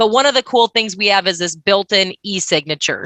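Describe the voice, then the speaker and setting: Moving at a fairly quick pace, a woman speaks with ordinary pitch variation. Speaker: software vendor presenter. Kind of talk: product demo. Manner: fast.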